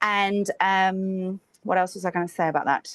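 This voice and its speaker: A woman speaks at a medium pitch. The sound is dry and close with no echo, over a quiet background. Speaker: software developer conference speaker. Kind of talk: conference talk. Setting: stage with audience. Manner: fast.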